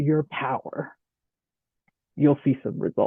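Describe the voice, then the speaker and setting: The pace of this speech is moderate. It comes in an American accent. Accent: slight Southern accent when presenting. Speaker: corporate speaker on leadership. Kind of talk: presentation to professional audience. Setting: chapter meeting with live audience. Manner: conversational, engaging.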